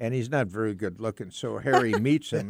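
A man's plain, everyday voice, with ordinary pitch variation, a fairly quick pace, and a dry, close sound with no echo. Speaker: bandleader and trumpet player. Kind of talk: interview. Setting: studio.

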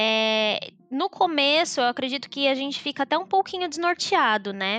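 Over music in the background, a high-pitched woman speaks at a moderate pace with very wide pitch swings, in a dry, close sound with no echo. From São Paulo state, Brazil (São Bernardo do Campo). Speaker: podcast guest, digital marketer. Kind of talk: casual chat.

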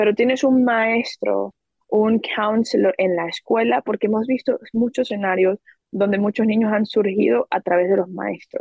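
A woman with an unremarkable speaking voice talks at a moderate pace in a fairly high pitch, with ordinary pitch variation. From Venezuela. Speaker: education entrepreneur. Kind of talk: podcast interview.

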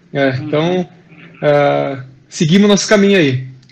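With a Gaúcho Brazilian accent, a man speaks at a fairly high pitch. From Rio Grande do Sul, Brazil. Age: 30s. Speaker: professional football defender. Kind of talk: casual interview chat. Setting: video call.

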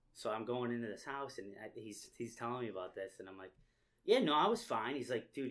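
An ordinary speaking voice moves at a fairly quick pace. Its loudness swings a lot. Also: man. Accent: American. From upstate New York. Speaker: real estate agent. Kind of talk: casual chat.

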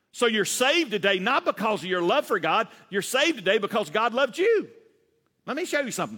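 A man with a Southern US accent speaks in a raised, projected voice. His tone is bright and sharp, and his intonation is lively. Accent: Southern US with a drawl. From US South. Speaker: pastor. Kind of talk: sermon. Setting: church. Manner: fast talker; animated, folksy, laughs often.

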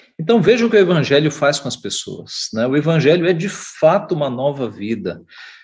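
A man with a fairly high pitch talks with lively intonation and vocal fry, hardly pausing at all. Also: fairly quick pace. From Brazil, São Paulo (east zone). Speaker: pastor. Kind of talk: Sunday school lesson. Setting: online church broadcast.

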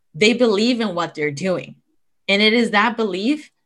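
There's a woman with an unremarkable speaking voice at medium pitch who talks at a moderate pace with lively intonation in a very clean recording with a silent background. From moved to US at 13. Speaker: podcast host. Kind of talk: interview conversation.

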